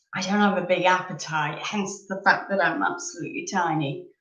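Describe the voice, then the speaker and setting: Audible room echo surrounds a woman who speaks at a moderate pace, her pitch fairly low and her intonation fairly even. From northern England, Leeds, Yorkshire. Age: 30s. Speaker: live streamer. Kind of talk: casual chat. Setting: live stream. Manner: chatty, hesitant with many ums.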